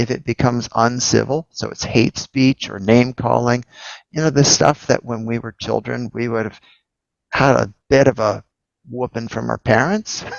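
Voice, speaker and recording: A plain, everyday voice from a man, medium in pitch, with fairly even intonation. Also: moderate pace. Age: 60s. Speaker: entrepreneur and investor. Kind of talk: casual chat.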